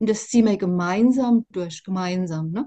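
Over a quiet background, a woman speaks in a dark, mellow tone that is somewhat breathy. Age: 60s. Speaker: interviewee sharing personal experience; interviewee. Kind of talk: testimony. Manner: halting, many fillers. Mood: reflective, earnest. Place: home room. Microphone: video call.

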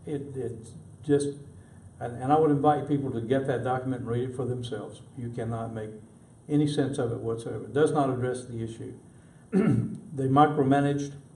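A man's dark, mellow, somewhat breathy voice at a medium pitch, fairly quick in pace with long, frequent pauses, monotone and flat in intonation, with audible room echo. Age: 70s. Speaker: city council candidate. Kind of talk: interview.

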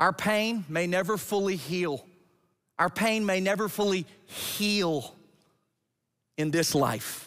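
Speaking very slowly with long, frequent pauses, a man with an American accent uses a high pitch for a man, ordinary pitch variation and very even loudness, against a quiet background. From Georgia, US South. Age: 40s. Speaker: pastor. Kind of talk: sermon. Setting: church. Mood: earnest, emphatic. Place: church.

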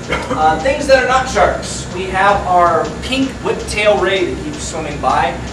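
A man speaking at a fairly slow pace, with noticeable background noise. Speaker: aquarium dive guide. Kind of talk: guided briefing talk. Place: hall. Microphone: camera far.

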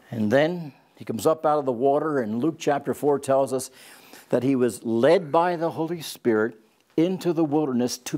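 With a dark, mellow tone and lively intonation, a man speaks at a moderate pace against a quiet background. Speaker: Bible teacher. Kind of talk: lecture. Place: studio. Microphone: lapel.

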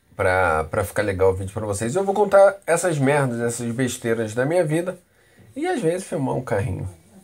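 A man at medium pitch with very wide pitch swings and a moderate pace. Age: 30s. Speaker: vlogger. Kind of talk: casual vlog monologue. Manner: animated.

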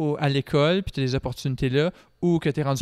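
In an ordinary speaking voice, a man talks fairly quickly at a fairly high pitch with fairly even intonation, the sound dry and close with no echo. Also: very clean recording, silent background. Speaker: classical singer and student. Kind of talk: casual chat. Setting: brewery.

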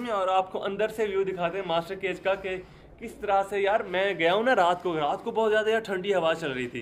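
At a fairly quick pace with few pauses, a man speaks at a high pitch with ordinary pitch variation.

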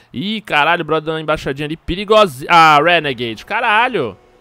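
Music plays in the background of a dry recording with no echo. A man with a fairly high pitch talks at a very fast pace. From Minas Gerais, Brazil. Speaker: gaming youtuber. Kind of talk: gameplay commentary. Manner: animated.

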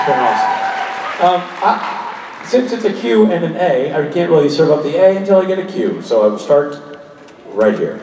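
A man's voice carries audible room echo, with crowd noise in the background. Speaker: guest. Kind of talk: casual stage talk to audience. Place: stage. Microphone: pa.

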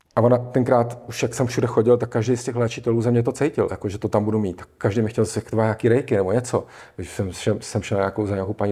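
A man's dark, mellow, somewhat breathy voice at a very fast pace, its intonation fairly even. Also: quiet background. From Czech Republic. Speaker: psychosomatic therapist; interview guest. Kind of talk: casual interview. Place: studio. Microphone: lapel.

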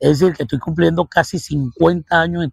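The voice is somewhat breathy, with ordinary pitch variation. The sound is dry and close, with no echo. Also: man. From Venezuela, Caracas. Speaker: mathematics professor and researcher. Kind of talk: interview. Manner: halting, with many fillers.

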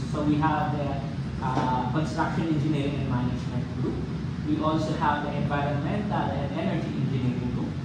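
Amid loud background noise and audible room echo, a man talks at a fairly quick pace with ordinary pitch variation. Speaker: presenter. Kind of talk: presentation. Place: meeting room.

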